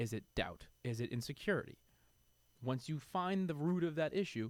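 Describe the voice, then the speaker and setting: A man speaks with a New York accent and lively intonation. His pitch sits fairly high, and his pace is moderate. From New York City (Queens). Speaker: supplement industry figure. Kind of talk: podcast interview. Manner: animated.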